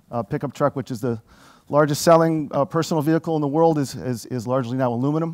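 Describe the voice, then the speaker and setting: Recorded with a dry, close sound and no echo, a man with an American accent speaks at a fairly high pitch with ordinary pitch variation. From United States. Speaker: corporate marketing director. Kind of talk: conference presentation. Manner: halting, many fillers and repeats; animated.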